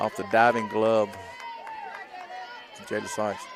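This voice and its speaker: There is noticeable background noise. A man with an American accent talks at a fairly quick pace. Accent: rural Southern, redneck-sounding. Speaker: sports play-by-play commentator. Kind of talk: live commentary. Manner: fast; casual, chatty.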